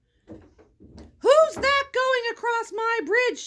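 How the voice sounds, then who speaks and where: This put-on character voice sits at an extremely high pitch. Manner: shouting, gruff.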